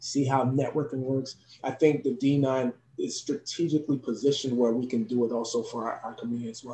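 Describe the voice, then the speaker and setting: A man with an American accent, a normal speaking voice, medium pitch, fairly even intonation and a fairly quick pace. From New Jersey, US. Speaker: professor and youth educator. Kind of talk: interview.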